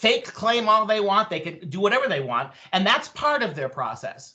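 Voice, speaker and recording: A man talks at a fairly quick pace. His voice is raised and projected. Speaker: professor, debate panelist. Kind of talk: panel debate. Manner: loud; animated.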